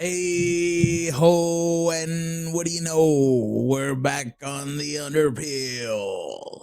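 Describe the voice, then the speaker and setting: A man puts on a character voice with a fairly high pitch. He talks at a very slow pace with hardly any pauses. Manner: exaggerated, jokey.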